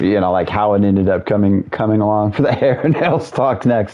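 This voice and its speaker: With noticeable background noise behind him, a man speaks in a fairly low pitch with ordinary pitch variation. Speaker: gaming streamer. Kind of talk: casual chat. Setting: live stream with headset. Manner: fast.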